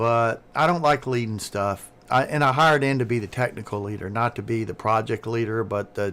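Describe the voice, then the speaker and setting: With a Southern US accent, a man speaks at a medium pitch with ordinary pitch variation. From US South. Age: 60s. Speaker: streamer, retired engineer. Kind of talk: casual chat. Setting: live stream with Discord call.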